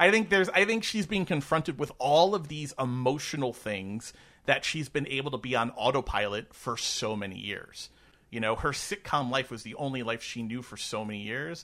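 On a very clean recording with a silent background, a man with an American accent speaks at a medium pitch and moderate pace, his bright, sharp tone moving through very wide pitch swings and big swings in loudness. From New York. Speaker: podcast co-host. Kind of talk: casual chat.

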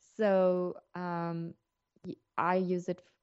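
This woman speaks with a fairly low pitch. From South Africa. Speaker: entrepreneur and human rights consultant. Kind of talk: interview.

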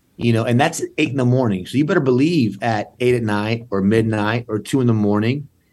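In an American accent, a man at medium pitch talks at a fairly quick pace with hardly any pauses, ordinary pitch variation and very even loudness. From San Antonio, Texas. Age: 40s. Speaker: political candidate, prosecutor. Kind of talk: casual interview. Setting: video call.

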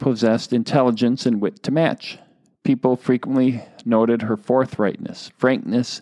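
With ordinary pitch variation, the reading voice sounds unforced.

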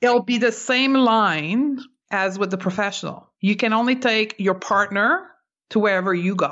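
Fairly high in pitch, a woman speaks in a normal speaking voice at a moderate pace. Her loudness stays very even, and her pitch variation is ordinary. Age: 40s. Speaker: clinical nutritionist and intuitive eating expert. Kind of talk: interview.

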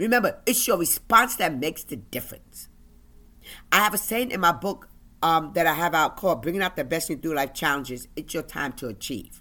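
A passionate, animated tone comes through at a fairly quick pace on a very clean recording with a silent background. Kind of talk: motivational faith-based talk. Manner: passionate, animated, demanding.

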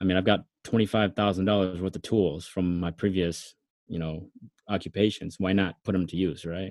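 A man with an American accent speaks at a very deep, low pitch in a monotone, flat intonation. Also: moderate pace. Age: 30s. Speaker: former mechanic and ex radio host. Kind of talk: casual interview chat.

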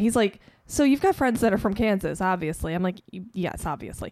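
This woman speaks at a fairly quick pace in an ordinary speaking voice, her intonation lively. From Chicago. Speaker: film set crew worker. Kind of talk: casual chat.

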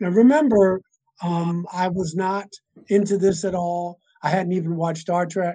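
In a high pitch with a dark, mellow tone, a man speaks with fairly even intonation. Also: moderate pace. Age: 60s. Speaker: minister and author on alien topics. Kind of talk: casual interview chat. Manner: rambling, repeats words.

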